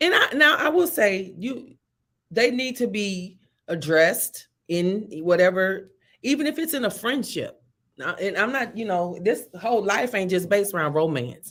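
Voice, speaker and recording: A woman's pitch swings very widely as she speaks at a moderate pace in a very clean recording with a silent background. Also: medium pitch for a woman. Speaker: show co-host. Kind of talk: casual discussion. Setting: office.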